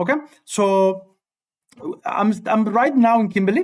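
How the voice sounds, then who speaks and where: This is a man talking. He has a slight Spanish accent. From Cuba. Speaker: high school physics teacher. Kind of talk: live-stream tutorial. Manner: halting, repetitive.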